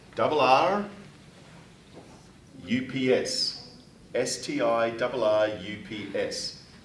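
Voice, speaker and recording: A man speaks at a very slow pace, with long, frequent pauses. Room echo is audible, and background noise is noticeable. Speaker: writing teacher. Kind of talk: classroom lesson. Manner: loud.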